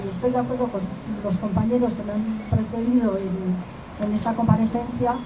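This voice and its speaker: With audible room echo and noticeable background noise, a woman speaks fairly slowly at a fairly high pitch with fairly even intonation. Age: 60s. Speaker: affected bank customer, retiree. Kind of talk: press conference testimony. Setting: press conference.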